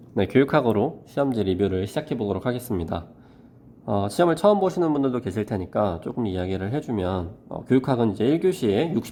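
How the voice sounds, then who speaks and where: A man with a fairly low voice and a dark, mellow tone talks at a very fast pace with very wide pitch swings. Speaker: math teacher. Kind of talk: tutorial.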